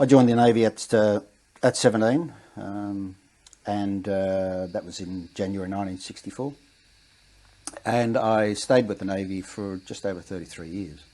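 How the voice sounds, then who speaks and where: A man with an Australian accent and a dark, mellow tone, fairly low in pitch with ordinary pitch variation, at a moderate pace with long, frequent pauses and big swings in loudness. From Western Australia. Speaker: war veteran. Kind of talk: interview. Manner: halting.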